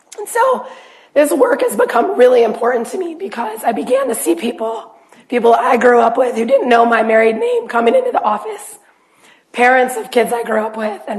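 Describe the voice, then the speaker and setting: Speaking fairly quickly with an American accent, a woman is heard amid audible room echo. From Ohio, Youngstown. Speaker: family physician. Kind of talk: lecture. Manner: halting.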